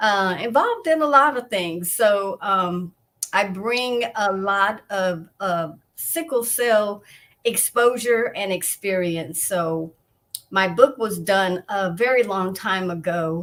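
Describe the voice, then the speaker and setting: A woman of medium pitch speaks at a very slow pace with ordinary pitch variation. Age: 60s. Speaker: author and patient advocate. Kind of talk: online interview.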